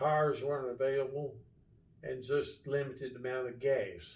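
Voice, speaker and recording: In an American accent, a man talks at a moderate pace with a somewhat breathy, medium-pitched voice, monotone, flat intonation and audible room echo. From Kentucky, Albany area. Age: 80s+. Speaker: marina business owner. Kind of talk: casual interview.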